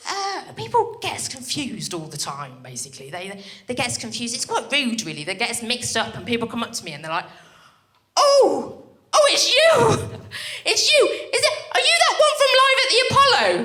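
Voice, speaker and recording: A woman talks at a fairly quick pace, her loudness swinging a lot. There are long, frequent pauses and audible echo from the room. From Birmingham, English Midlands. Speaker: stand-up comedian. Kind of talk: stand-up. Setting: stage with audience. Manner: animated.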